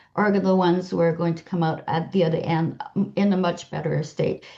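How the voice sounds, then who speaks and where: This woman's voice is somewhat breathy. She talks at a moderate pace. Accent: Quebec. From Quebec, Canada. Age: 60s. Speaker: health-sharing business seller. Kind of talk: interview.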